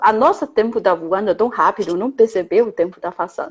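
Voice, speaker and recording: In a Chinese accent, a woman with fairly high pitch talks at a moderate pace. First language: Chinese (speaking Portuguese). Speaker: Chinese language teacher and interviewer. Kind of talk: interview.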